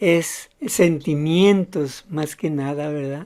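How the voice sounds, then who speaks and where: Very slow and dark, mellow in tone, a woman speaks with a very deep, low pitch. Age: 80s+. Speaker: online political news commentator. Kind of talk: casual commentary monologue. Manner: halting, with frequent repetitions.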